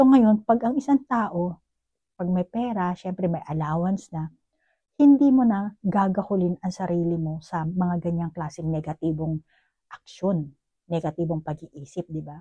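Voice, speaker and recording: A woman speaks with lively intonation at a moderate pace, her pitch fairly low and her tone dark and mellow. The voice is somewhat breathy, with a dry, close sound and no echo. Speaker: tarot card reader. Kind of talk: psychic tarot reading. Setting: at home, neighbors nearby. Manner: conversational, direct address to viewer.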